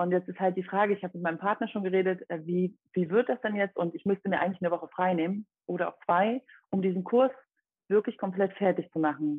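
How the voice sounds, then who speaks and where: Her pitch sitting mid-range, a woman talks very fast with fairly level intonation. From Dresden, Saxony (eastern Germany). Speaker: personal trainer, former competitive athlete. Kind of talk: podcast interview.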